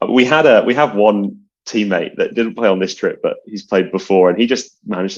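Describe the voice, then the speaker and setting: A man speaking in a British accent keeps a moderate pace. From UK. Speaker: card counter. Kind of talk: casual chat.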